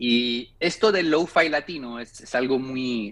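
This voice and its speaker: With a quiet background behind him, a man speaks at medium pitch with ordinary pitch variation. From France, Paris. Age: 40s. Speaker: record label founder. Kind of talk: interview. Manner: halting.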